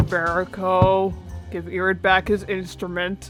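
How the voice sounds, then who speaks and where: Over clear background music, a female-sounding put-on character voice moves at a fairly slow pace. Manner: tired.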